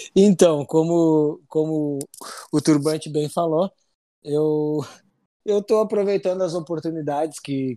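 A man speaks at a fairly slow pace with a fairly high pitch, ordinary pitch variation and a dark, mellow tone. The recording is very clean, with a silent background and a dry, close sound with no echo. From Rio Grande do Sul, Brazil (city of Rio Grande). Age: 30s. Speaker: military police officer. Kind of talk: interview, personal testimony. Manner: halting, frequent repetitions.

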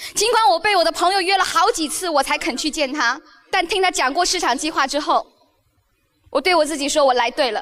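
A woman with an extremely high pitch speaks at a fairly quick pace in an animated tone. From Beijing, China. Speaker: direct sales leader and motivational speaker. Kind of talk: motivational speech. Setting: stage with audience.

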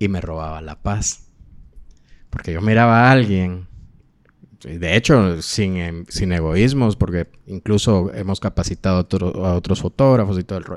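A man with a very deep, low voice speaks at a fairly slow pace with ordinary pitch variation. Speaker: podcast host. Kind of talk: interview.

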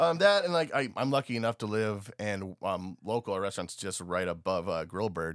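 A man with an American accent and a normal speaking voice talks at a moderate pace with a fairly low pitch, lively intonation and hardly any pauses. The sound is dry and close with no echo, in a very clean recording with a silent background. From Eastern Washington. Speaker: chef and restaurant owner. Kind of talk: casual chat.

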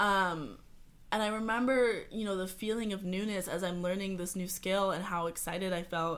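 At a moderate pace, a woman talks in an unremarkable speaking voice with a medium pitch and fairly even intonation. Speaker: photographer. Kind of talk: casual chat.

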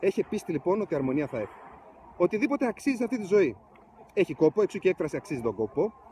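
This man talks at a high pitch with very wide pitch swings and a fairly quick pace. The sound is dry and close, with no echo. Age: 30s. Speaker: motivational vlogger. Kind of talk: motivational vlog. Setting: outdoors in ski resort.

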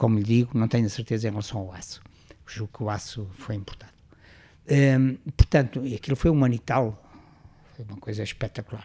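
The voice has a dark, mellow tone, somewhat breathy, with fairly even intonation. Long, frequent pauses break it up, and the loudness swings widely. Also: man, medium pitch for a man, fairly quick pace. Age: 70s. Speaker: retired engineering professor. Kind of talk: interview. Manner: halting.

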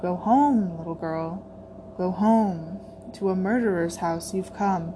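Clear background noise sits under a woman's raspy, put-on character voice, medium in pitch and fairly slow in pace. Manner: taunting, ominous.

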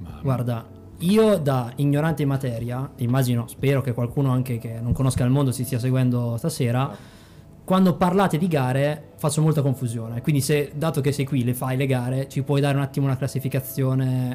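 Over music in the background, a man talks at a fairly quick pace in a medium pitch. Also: ordinary pitch variation. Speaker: podcast co-host. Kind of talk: casual chat. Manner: stumbling.

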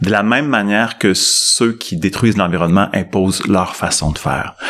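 Using a plain, everyday voice, a man talks at a moderate pace and a fairly low pitch. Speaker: psychologist and management professor. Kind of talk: interview.

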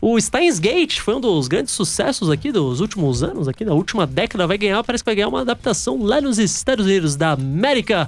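With music in the background, a man talks very fast in a high pitch with hardly any pauses, very wide pitch swings, and very even loudness. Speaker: radio host. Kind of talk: casual chat.

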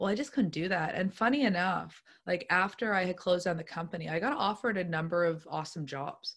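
A woman with a Nova Scotian accent at a medium pitch, very fast pace, lively intonation and hardly any pauses. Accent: Atlantic Canadian (Nova Scotian). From Nova Scotia, South Shore (Lunenburg). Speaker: entrepreneur and marketer. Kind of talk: interview conversation.

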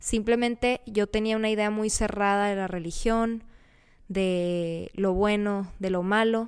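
A woman's medium-pitched, monotone, flat delivery is captured in a very clean recording with a silent background. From Mexicali, Baja California, Mexico. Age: 20s. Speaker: podcast host, recent dental graduate. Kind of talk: casual monologue.

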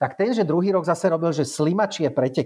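A man with a dark, mellow tone talks at a fairly quick pace against a quiet background. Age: 40s. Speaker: race organizer and ultrarunner. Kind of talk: casual interview. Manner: halting, with many repetitions and fillers.

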